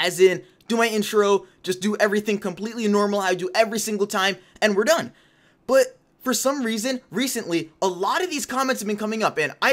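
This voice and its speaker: This very fast speech comes in a very clean recording with a silent background. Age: young. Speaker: gaming youtuber. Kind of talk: casual vlog commentary. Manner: animated.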